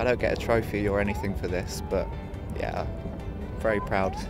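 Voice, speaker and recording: A man talks at a moderate pace over clear background music, the sound dry with no echo. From United Kingdom. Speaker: Olympic sprint kayaker. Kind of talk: interview answer. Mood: pleased, relaxed. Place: waterside.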